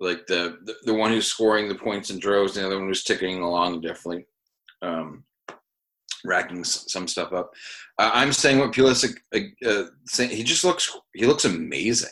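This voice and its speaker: Speaking at a moderate pace with a New England accent, a man uses a fairly low pitch, ordinary pitch variation and a bright, sharp tone, captured in a very clean recording with a silent background. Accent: New England American. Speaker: podcast host. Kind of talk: casual banter about fantasy football.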